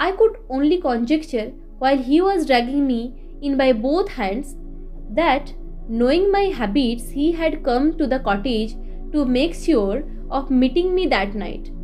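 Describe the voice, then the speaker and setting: Music plays behind a speaker with an Indian accent. The pace is fairly slow and the intonation lively. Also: woman, high pitch for a woman. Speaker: audiobook narrator. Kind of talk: audiobook reading of a classic novel.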